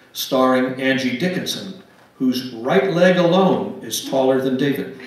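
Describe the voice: Lively intonation comes through at a fairly slow pace amid strong room echo. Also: man, medium pitch for a man.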